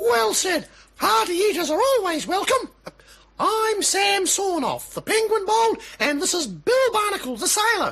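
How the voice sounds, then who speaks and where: Someone uses a put-on character voice with an extremely high pitch at a moderate pace. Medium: audio drama. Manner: hearty, cheerful.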